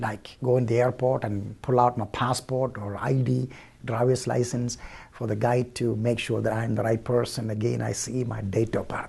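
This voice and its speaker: A somewhat breathy man's voice of medium pitch and dark, mellow tone, fairly even in intonation, at a moderate pace. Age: 60s. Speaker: church leader. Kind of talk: devotional talk. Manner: conversational, halting.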